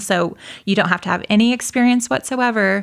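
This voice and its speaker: A woman's normal speaking voice at a moderate pace, with fairly even intonation. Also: very clean recording, silent background. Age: 30s. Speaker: roller derby player. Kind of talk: casual interview. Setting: studio.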